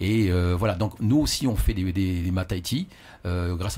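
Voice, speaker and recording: A man speaks at a moderate pace in a very deep, low voice that is somewhat breathy. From French Antilles. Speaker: caterer; radio guest. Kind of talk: casual chat; interview answer. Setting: radio studio. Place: studio. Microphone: studio mic.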